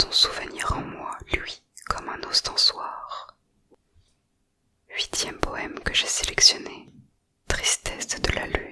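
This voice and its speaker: The woman whispers. Her words come very slowly. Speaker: ASMR creator. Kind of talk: whispered poetry reading. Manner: whispered.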